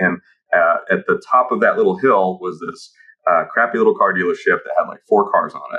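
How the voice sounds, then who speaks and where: Speaking at a moderate pace, a man talks with a Midwestern American accent. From Kansas City, US Midwest (Ukrainian immigrant). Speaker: automotive tech founder and dealer. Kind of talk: podcast interview. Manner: hesitant, many fillers.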